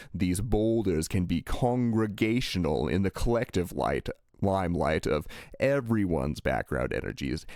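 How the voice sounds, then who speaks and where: At a moderate pace, a man speaks with a very deep, low pitch and very wide pitch swings. His loudness stays very even. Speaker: spiritual channeler. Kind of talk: channeled message.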